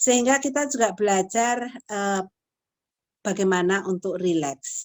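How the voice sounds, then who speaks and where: A woman at a medium pitch talks fairly slowly, her pitch shifting in an ordinary way. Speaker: lecturer in counseling psychology. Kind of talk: lecture.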